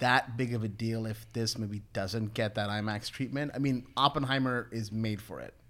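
With an unremarkable speaking voice, a man speaks at a medium pitch and moderate pace in fairly even intonation. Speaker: film podcast co-host. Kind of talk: casual chat.

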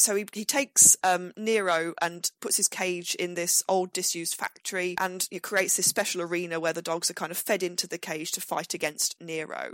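A woman with an unremarkable speaking voice talks at a moderate pace, with a fairly low pitch and fairly even intonation. She hardly pauses, and the sound is dry and close with no echo. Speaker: history professor. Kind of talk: interview storytelling.

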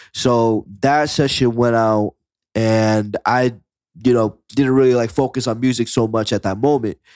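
A man with a plain, everyday voice speaks fairly slowly with fairly even intonation and very even loudness, in a very clean recording with a silent background and a dry, close sound with no echo. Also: medium pitch for a man. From Kissimmee, Florida, Puerto Rican family. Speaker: music producer and rapper. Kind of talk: casual chat.

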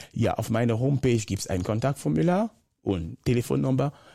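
A man's dark, mellow tone comes through a very clean recording with a silent background. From Cameroon. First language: Bakossi (speaking German). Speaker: motivational speaker and consultant. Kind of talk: interview. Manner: animated.

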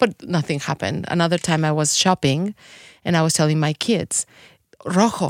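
A woman with a Spanish accent talks at a very deep, low pitch and a moderate pace, with ordinary pitch variation, in a dry, close recording with no echo, a very clean recording with a silent background. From Mexico City. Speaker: tequila influencer and chef. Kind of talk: casual interview chat. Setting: studio.

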